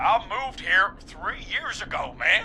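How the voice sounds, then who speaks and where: Over clear background noise, a man drawls in a put-on character voice at a moderate pace. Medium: video game. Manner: casual, drawling, says "man" a lot.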